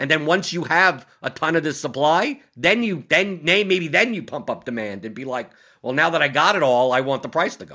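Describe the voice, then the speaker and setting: On a very clean recording with a silent background, a man with a fairly high, bright, sharp voice talks at a moderate pace with hardly any pauses, lively intonation and big swings in loudness. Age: 40s. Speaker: podcast host. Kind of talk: casual chat.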